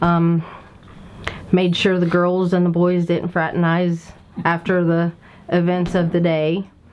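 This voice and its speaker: With an Appalachian accent, a woman with a fairly low pitch speaks at a fairly slow pace in a monotone, flat way, her loudness very even, with long, frequent pauses and noticeable background noise. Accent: Appalachian Kentucky. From Kentucky. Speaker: civil war reenactment organizer. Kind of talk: interview. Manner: conversational, rambling with fillers.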